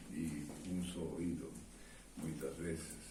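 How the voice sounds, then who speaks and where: This man talks at a very slow pace. Audible room echo surrounds his voice. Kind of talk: sermon. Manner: hesitant, many fillers.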